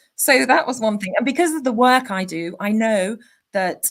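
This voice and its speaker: A woman's somewhat breathy voice with lively intonation, at a moderate pace. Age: 50s. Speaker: career coach. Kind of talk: interview conversation.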